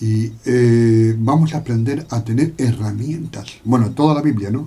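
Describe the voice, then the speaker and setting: Somewhat breathy, a man speaks at a fairly slow pace in a dark, mellow tone. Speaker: Bible teacher. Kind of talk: Bible study lecture. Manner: hesitant, many fillers.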